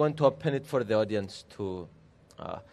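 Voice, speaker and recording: This man speaks with lively intonation. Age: 20s. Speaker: politician, member of parliament. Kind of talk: public talk with audience. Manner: halting.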